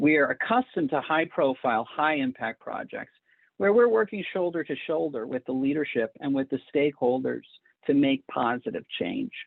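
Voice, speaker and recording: With an American accent, the speech moves along at a middling speed. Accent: Massachusetts accent, noticeable at times. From New England, Massachusetts. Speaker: education consultant. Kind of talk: presentation.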